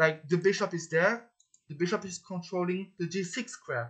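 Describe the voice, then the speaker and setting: Speech at a moderate pace with a French accent. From France. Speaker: chess player and coach. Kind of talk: chess tutorial. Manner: hesitant, repeats words.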